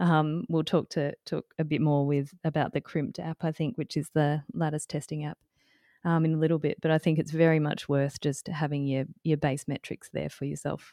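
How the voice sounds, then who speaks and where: A woman with an Australian accent and a very deep, low pitch, dark and mellow in tone, at a moderate pace with fairly even intonation, dry and close with no echo. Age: 40s. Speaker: climbing dietitian and co-host. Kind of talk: casual chat.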